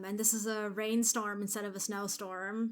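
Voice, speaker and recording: Over music in the background, a soft-spoken woman talks at a fairly slow pace. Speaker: movie reaction youtuber. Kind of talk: casual reaction commentary. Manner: louder than usual due to headphones.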